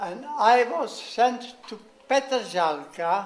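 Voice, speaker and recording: A man speaks with a Czech accent. Noticeable background noise is present. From Czechoslovakia (Moravian family). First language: Czech or German. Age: 90s. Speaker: war veteran. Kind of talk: speech. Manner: halting.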